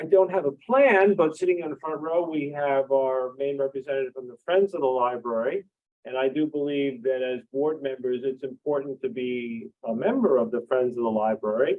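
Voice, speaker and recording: A man with a plain, everyday voice and a fairly high pitch keeps a moderate pace with hardly any pauses and ordinary pitch variation. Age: 60s. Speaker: library board candidate, retired professor. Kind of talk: candidates forum answers. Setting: public forum at library with audience.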